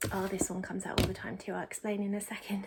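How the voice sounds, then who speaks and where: The speaker is a woman. A somewhat breathy quality marks her voice. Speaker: tarot reader. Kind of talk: tarot reading. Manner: fast; casual, with fillers.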